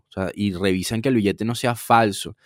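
In an ordinary speaking voice, a man talks at a moderate pace with a fairly low pitch. The recording is very clean, with a silent background and a dry, close sound with no echo. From Venezuela. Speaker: podcast co-host. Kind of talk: casual chat.

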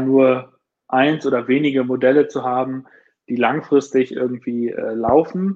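A man speaks with monotone, flat intonation. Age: 30s. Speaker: startup founder and CEO of a watch brand. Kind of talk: casual interview.

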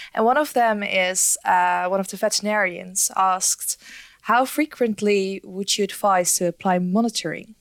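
A woman with an ordinary speaking voice, medium in pitch, talks at a moderate pace with ordinary pitch variation in a very clean recording with a silent background. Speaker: audiovisual editor. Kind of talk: reading audience questions.

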